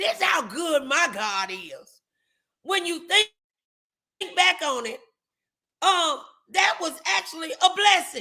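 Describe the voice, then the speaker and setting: At a very slow pace, a woman projects her voice in an extremely high pitch, with a bright, sharp tone and long, frequent pauses. Her pitch swings very widely and her loudness rises and falls sharply. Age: 50s. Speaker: talk show host and preacher. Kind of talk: casual chat. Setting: livestream.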